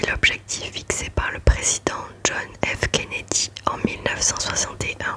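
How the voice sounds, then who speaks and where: At a very slow pace, a whispered voice comes through noticeable background noise. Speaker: ASMR creator. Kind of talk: ASMR reading of a factual text.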